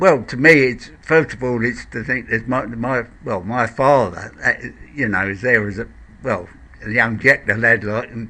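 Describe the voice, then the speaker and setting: A man with a London accent speaks at a moderate pace with big swings in loudness, against noticeable background noise. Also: medium pitch for a man, ordinary pitch variation. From Blackheath, south-east London. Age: 70s. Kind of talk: interview answer.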